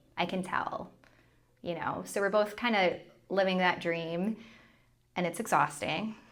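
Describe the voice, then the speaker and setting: Speaking at a fairly slow pace with long, frequent pauses, a woman keeps a medium pitch and fairly even intonation. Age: 30s. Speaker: former TV meteorologist turned content creator. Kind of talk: casual chat.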